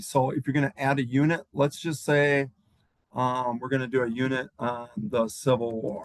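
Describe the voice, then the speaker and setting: It moves along at a moderate speed. The voice is a plain, everyday voice. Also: man, dry, close sound with no echo. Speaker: teacher. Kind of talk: tutorial.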